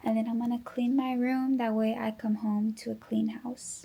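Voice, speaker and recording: A quiet woman with a dark, mellow tone at a moderate pace. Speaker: fitness vlogger, bodybuilding competitor. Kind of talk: vlog talking to camera. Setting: at home.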